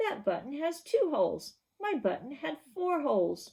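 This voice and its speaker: Putting on a character voice, a woman speaks high-pitched at a moderate pace. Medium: read story.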